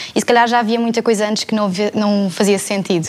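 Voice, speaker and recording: Her pitch sits fairly high for a woman. The intonation stays flat and monotone. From Portugal, Setúbal. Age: 20s. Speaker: theatre student. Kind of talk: panel discussion.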